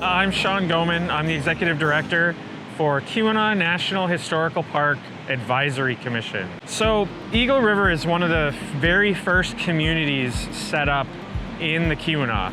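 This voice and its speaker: Shouting at a moderate pace, a man with a high pitch keeps very even loudness and ordinary pitch variation, with audible room echo and noticeable background noise. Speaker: historical park director. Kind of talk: on-location explanation. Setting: outdoors at a waterfall, on a bridge. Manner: loud, yelling over waterfall.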